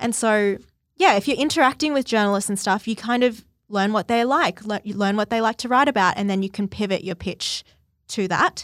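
A woman with an Australian accent speaks at a fairly quick pace and fairly high pitch with ordinary pitch variation. The recording is very clean with a silent background and a dry, close sound with no echo. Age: 20s. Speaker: publicist. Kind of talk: casual interview.

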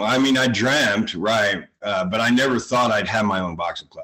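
This man talks at a moderate pace and medium pitch, with ordinary pitch variation. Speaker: boxing gym owner. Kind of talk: interview. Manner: halting.

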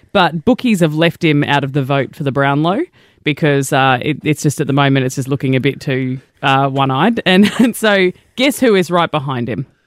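In a very clean recording with a silent background, a man with an Australian accent talks at a moderate pace in a fairly high pitch with ordinary pitch variation. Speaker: radio co-host. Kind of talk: casual chat. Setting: studio.

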